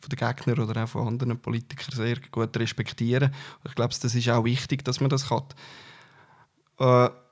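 With a slight Uri accent, a man talks at a fairly quick pace and medium pitch in a monotone, flat intonation, on a very clean recording with a silent background. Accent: Swiss German, Uri dialect, somewhat mild. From Switzerland, Uri (Altdorf). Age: 40s. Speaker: politician. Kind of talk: interview. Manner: hesitant, frequent fillers.

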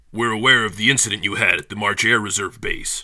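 A man puts on a character voice at a medium pitch and talks very fast. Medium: audio drama. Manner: clipped, formal questioning.

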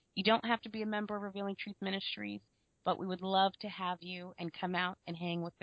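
Using a plain, everyday voice, a woman talks at a fairly quick pace and medium pitch. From US, Florida. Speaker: co-host.

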